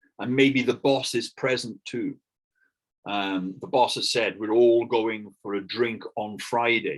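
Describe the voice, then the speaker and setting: A man with a British accent, medium in pitch, at a very slow pace. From Britain. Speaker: English teacher. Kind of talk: online lesson.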